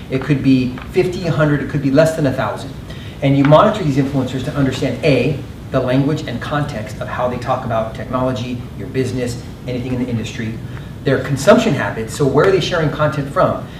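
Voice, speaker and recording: Amid noticeable background noise and audible room echo, a man speaks at a very fast pace. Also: medium pitch for a man, ordinary pitch variation. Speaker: marketing panelist. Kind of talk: panel discussion.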